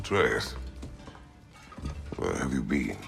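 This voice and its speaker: A raspy, put-on character voice from a man, with clear music in the background. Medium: video game. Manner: terse, measured.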